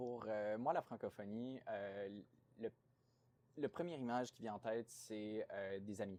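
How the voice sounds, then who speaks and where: This man talks at a medium pitch and a fairly slow pace. His pitch varies in an ordinary way, with long, frequent pauses. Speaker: playwright and graduate student. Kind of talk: interview. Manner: hesitant, many fillers.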